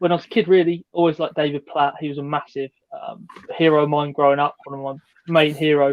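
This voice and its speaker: The speaker is a man with a southern English accent. His fairly high pitch stays in a monotone, flat intonation. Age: 30s. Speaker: football shirt social media creator. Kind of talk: casual chat.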